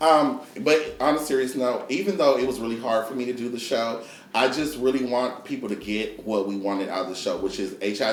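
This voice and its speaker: A man talks at a fairly quick pace with ordinary pitch variation. The room echo is audible and background noise is noticeable. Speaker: talk show host. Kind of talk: casual panel chat.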